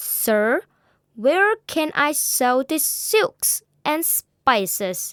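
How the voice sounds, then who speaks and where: In a put-on character voice, a woman speaks at a very slow pace with a high pitch and very wide pitch swings, in a dry, close sound with no echo. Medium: read story.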